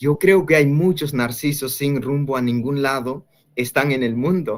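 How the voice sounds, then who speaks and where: A man with an Andean accent speaks at a fairly slow pace, his fairly high voice showing ordinary pitch variation. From rural Bolivia. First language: Quechua (speaking Spanish). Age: 20s. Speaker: young evangelist. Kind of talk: interview testimony. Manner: halting, with many fillers.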